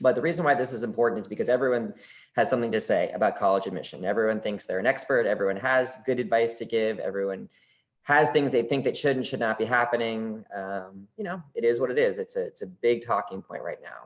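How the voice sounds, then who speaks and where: This man talks very fast. His medium pitch shows ordinary variation. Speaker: college admissions officer. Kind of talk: webinar presentation. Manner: animated.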